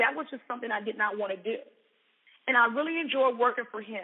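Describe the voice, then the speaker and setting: A woman speaks in a Southern US accent at a fairly high pitch. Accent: Southern American. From US South, Mobile, Alabama. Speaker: entrepreneur and coach. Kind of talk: personal story talk.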